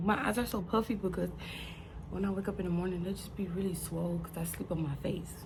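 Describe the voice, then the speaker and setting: A woman's voice with audible room echo. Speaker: nail technician vlogger. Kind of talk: casual vlog chat. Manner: rambling, casual; quiet in the morning.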